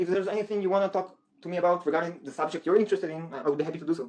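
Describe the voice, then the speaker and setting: In an Israeli accent, a man talks at a very fast pace with a high pitch and ordinary pitch variation. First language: Hebrew. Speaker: guest debater. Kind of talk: heated debate.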